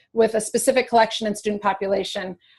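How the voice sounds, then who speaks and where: A woman's somewhat breathy, fairly high-pitched voice with an American accent and monotone, flat intonation. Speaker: museum educator. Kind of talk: webinar presentation. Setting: online webinar. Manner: hesitant, many fillers.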